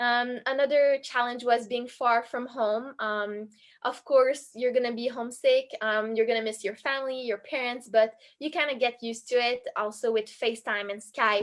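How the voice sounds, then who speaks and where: A woman with a French accent and a high pitch speaks at a moderate pace with fairly even intonation, recorded very cleanly against a silent background. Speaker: college synchronized skater. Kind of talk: casual talk on a video stream.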